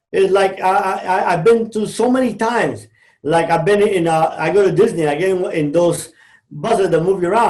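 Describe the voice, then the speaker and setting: Here a man talks at a fairly quick pace. He speaks with a Cuban-American accent. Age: 60s. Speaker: former drug trafficker turned motivational speaker. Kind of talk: podcast interview. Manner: animated.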